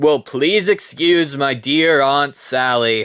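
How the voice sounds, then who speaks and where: Delivered at a very slow pace, the voice is a put-on character voice. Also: man. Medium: solo performance. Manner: loud, brash, math-pun laden.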